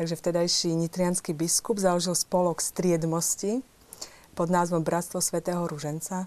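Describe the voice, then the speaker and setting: Here a woman talks at a moderate pace in a fairly low pitch. Her intonation stays monotone and flat. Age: young. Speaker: English teacher. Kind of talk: TV studio discussion.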